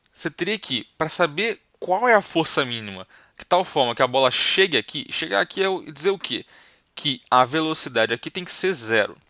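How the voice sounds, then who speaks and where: A man with a fairly high pitch, a bright, sharp tone and very wide pitch swings, in a very clean recording over a silent background. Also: moderate pace, dry, close sound with no echo. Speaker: physics teacher. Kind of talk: lecture. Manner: soft-spoken; casual.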